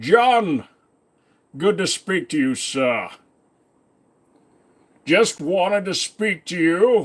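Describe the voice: Putting on a raspy character voice, a man speaks at a high pitch and a very slow pace with lively intonation and long, frequent pauses.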